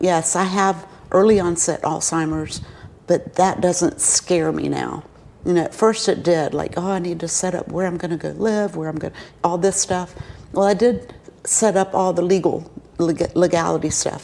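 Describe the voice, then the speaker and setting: At a moderate pace, a woman speaks in a normal speaking voice with a fairly low pitch. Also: fairly even intonation. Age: 60s. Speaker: interviewee living with early-onset Alzheimer's. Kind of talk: interview.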